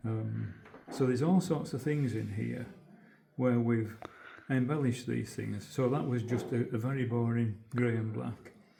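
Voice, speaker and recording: Audible room echo surrounds a voice with a Yorkshire accent. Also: man, medium pitch for a man, ordinary pitch variation, moderate pace. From northern England, Yorkshire (Holmfirth). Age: 80s+. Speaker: retired textile designer, museum volunteer. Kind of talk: guided demonstration. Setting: museum weaving room. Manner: halting.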